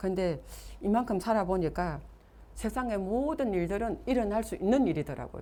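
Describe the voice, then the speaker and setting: A woman speaks with a dark, mellow tone. Her voice has vocal fry. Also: medium pitch for a woman, moderate pace. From Gyeongsang region, South Korea. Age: 60s. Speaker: network marketing business leader. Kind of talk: motivational seminar talk.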